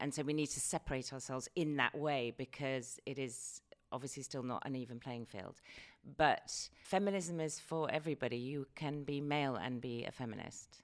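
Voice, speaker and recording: A woman with a very deep, low voice talks at a moderate pace with ordinary pitch variation, recorded very cleanly against a silent background. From UK. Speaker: businesswoman and philanthropist. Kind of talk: interview.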